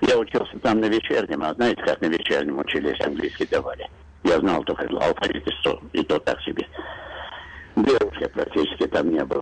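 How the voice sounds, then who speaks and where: A man's voice at a moderate pace with very even loudness, over noticeable background noise. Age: 70s. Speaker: radio show caller. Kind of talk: phone-in call.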